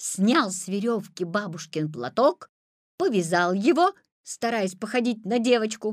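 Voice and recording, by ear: Against a quiet background, a text is read aloud in a natural voice with ordinary pitch variation.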